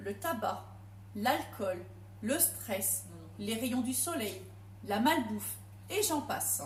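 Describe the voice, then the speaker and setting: Long, frequent pauses break up very slow speech heard with audible room echo. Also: woman. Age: 40s. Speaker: home cook and product seller. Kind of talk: testimony. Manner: hesitant.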